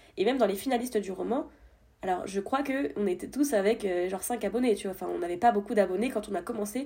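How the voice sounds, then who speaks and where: The speech runs at a very fast pace with ordinary pitch variation while noticeable background noise carries on. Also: woman. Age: 20s. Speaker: debut novelist and escape game staffer. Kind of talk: casual interview chat.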